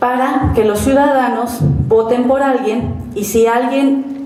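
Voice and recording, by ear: A woman speaks slowly with a dark, mellow tone, fairly high pitch and fairly even intonation. Audible room echo surrounds her voice.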